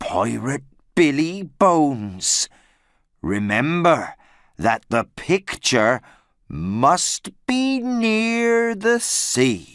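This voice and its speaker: In a put-on character voice at middle pitch, the speaker moves at a very slow pace with very wide pitch swings. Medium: read story. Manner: solemn, cryptic.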